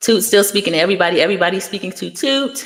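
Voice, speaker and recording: Very fast pace, lively intonation and an animated tone. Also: woman. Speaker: youtuber discussing reality TV. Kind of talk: live stream commentary. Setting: live stream reading chat.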